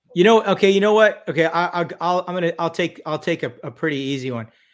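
On a very clean recording with a silent background, a man with an American accent and an unremarkable speaking voice talks at a fairly high pitch with ordinary pitch variation. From California. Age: 50s. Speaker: physician and special forces veteran. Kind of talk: casual chat.

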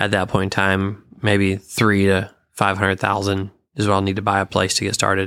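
A man with an American accent, fairly low pitch and a moderate pace, on a very clean recording with a silent background. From Michigan. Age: 30s. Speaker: horse trainer. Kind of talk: casual interview.

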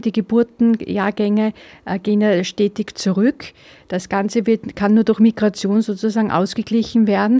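A woman with a dark, mellow tone and fairly high pitch speaks at a moderate pace in a flat monotone, recorded dry and close with no echo. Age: 50s. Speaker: political podcaster. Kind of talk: opinion monologue. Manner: hesitant with filler sounds.

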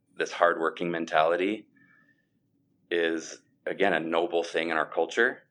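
A man's very deep, low voice with an Upper Midwest accent, at a moderate pace against a quiet background. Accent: Upper Midwest American. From US Midwest (Sioux Falls, South Dakota). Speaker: former pastor and worship leader, mortgage banker. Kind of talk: interview.

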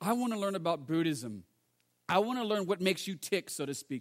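A man talks with lively intonation. He has an American accent. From United States. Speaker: pastor. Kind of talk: sermon. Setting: church. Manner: fast.

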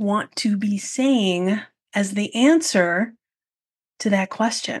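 This woman speaks very slowly in a somewhat breathy, fairly high voice. Her pitch variation is ordinary, and the background is quiet. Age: 40s. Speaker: podcast host and photography business coach. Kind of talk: solo podcast monologue.

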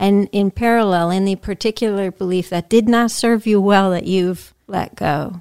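A woman with an unremarkable speaking voice talks at medium pitch and a moderate pace, her intonation fairly even and hardly any pauses. The recording is very clean, the background silent. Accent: American. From Massachusetts, US. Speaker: podcast host. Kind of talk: interview.

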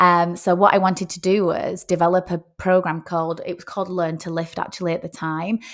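With a Lancashire accent, a woman talks at a fairly quick pace with hardly any pauses, her fairly low pitch held in a monotone, flat intonation. Her loudness swings widely, and the recording is very clean with a silent background. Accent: northern English (Lancashire). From northern England, Rochdale. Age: 40s. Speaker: personal trainer and nutritionist. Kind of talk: casual monologue podcast. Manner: hesitant, with fillers.

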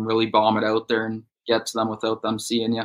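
Speaking at a fairly quick pace with a Canadian accent, a man has a medium-pitched voice with a bright, sharp tone. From Ontario, Canada (Bowmanville, east of Toronto). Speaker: professional bass angler. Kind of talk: casual interview.

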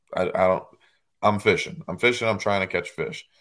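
Recorded very cleanly against a silent background, a man speaks with an American accent. He has an unremarkable speaking voice, fairly low in pitch, with fairly even intonation. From northern US. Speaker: professional bass angler. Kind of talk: casual chat.

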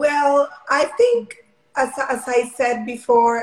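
A woman in a Spanish accent at a very slow pace. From Mexico. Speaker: Olympic long jumper. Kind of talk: interview.

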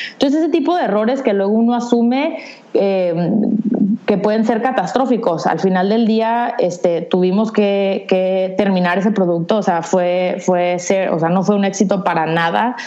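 A woman speaks at a medium pitch, with ordinary pitch variation and very even loudness. Noticeable background noise and audible room echo surround her voice. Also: moderate pace. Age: 30s. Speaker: entrepreneur. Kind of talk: interview.

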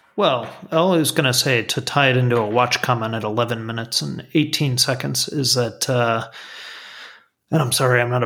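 This man's voice sits at a medium pitch with a bright, sharp tone, ordinary pitch variation and a moderate pace. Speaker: podcast host. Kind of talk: casual chat. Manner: joking.

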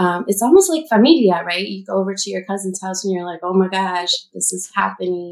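This woman has an unremarkable speaking voice at a medium pitch, talking at a fairly quick pace with hardly any pauses, ordinary pitch variation and big swings in loudness. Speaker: artist. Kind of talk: casual chat.

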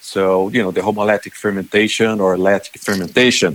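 At a moderate pace, a man speaks with a Portuguese accent. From Brazil. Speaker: animal nutrition specialist. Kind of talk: interview.

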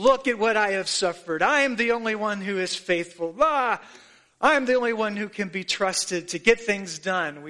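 In a put-on, whiny character voice, a man speaks at a high pitch and a moderate pace with ordinary pitch variation against a quiet background. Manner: self-pitying, whiny, sorry for oneself.

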